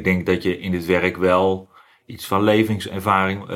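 This man's pitch is very deep and low. The recording is very clean, with a silent background. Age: 40s. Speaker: ambulance driver. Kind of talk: interview. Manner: halting, many fillers.

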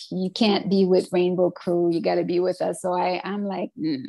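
On a very clean recording with a silent background, a woman with an unremarkable speaking voice talks at medium pitch with fairly even intonation. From Canada, Montreal North, Quebec. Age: 50s. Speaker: professional dancer and dance teacher. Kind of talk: casual interview.

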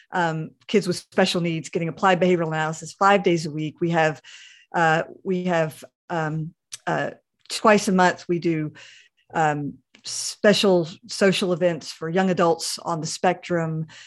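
An unremarkable speaking voice moves at a fairly slow pace with fairly even intonation. The background is quiet. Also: woman, fairly low pitch for a woman. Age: 50s. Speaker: pastor. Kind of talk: interview.

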